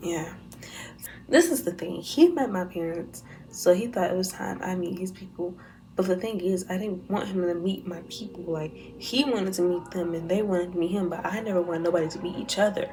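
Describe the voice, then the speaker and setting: A soft-spoken woman talks at a fairly quick pace with ordinary pitch variation, with audible room echo and music in the background. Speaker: YouTuber. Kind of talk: storytime vlog. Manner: talking low.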